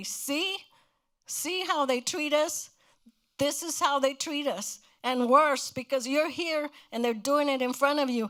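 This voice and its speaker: This woman has a high pitch, ordinary pitch variation and an American accent. She talks at a fairly slow pace with long, frequent pauses, in a very clean recording with a silent background. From Crystal City, Texas. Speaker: civil rights activist. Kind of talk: interview answer. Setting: live museum program.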